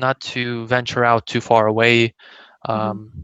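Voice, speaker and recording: A man speaks in a Russian accent with a bright, sharp tone and monotone, flat intonation. The sound is dry and close, with no echo. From Kazakhstan, then raised mostly in US West Coast. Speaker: bilingual immigrant interviewee. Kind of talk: interview. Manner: hesitant, many fillers.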